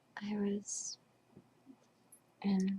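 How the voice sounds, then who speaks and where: The speaker is whispering. The voice is soft-spoken. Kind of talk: ASMR role play. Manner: soft-spoken, whispered.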